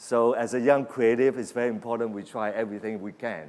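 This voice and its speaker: A man's normal speaking voice at medium pitch, moderate pace, and ordinary pitch variation. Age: 60s. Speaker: creative industry executive. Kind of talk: keynote speech.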